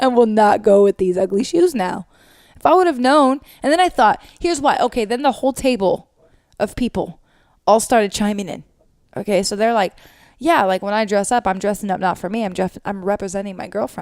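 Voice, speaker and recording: A loud woman's voice, fairly high and lively in intonation, at a fairly quick pace on a very clean recording with a silent background. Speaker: podcast co-host. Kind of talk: casual chat.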